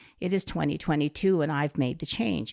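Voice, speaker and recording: A woman with an American accent speaks with vocal fry. The sound is dry and close with no echo, and the recording is very clean with a silent background. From Southern California. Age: 70s. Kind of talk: podcast interview.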